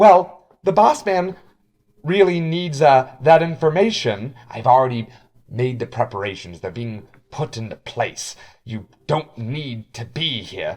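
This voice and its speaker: A raspy, put-on character voice from a man, medium in pitch, with very wide pitch swings, at a fairly slow pace, on a very clean recording with a silent background. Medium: actual play. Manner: tense, argumentative.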